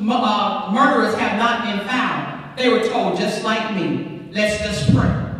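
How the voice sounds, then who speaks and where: A woman with ordinary pitch variation speaks in a space with strong room echo. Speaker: speaker, bishop. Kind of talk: impassioned public address. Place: church.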